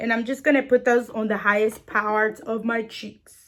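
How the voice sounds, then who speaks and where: At a moderate pace, a woman talks in a fairly high pitch with a strong non-native accent. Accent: strong foreign. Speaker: beauty vlogger. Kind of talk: tutorial. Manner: casual, chatty with fillers.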